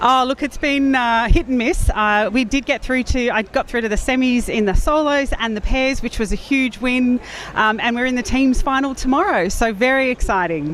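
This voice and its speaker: A woman speaks with an Australian accent at a high pitch and a moderate pace. She hardly pauses, and there is noticeable background noise. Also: ordinary pitch variation. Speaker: speed puzzling content creator and competitor. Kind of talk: live commentary interview.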